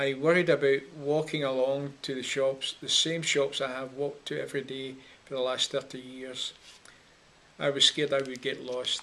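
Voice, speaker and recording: In a Scottish accent, a man speaks at a moderate pace. His fairly high voice stays monotone and flat. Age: 60s. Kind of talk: personal testimony. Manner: measured, slightly halting.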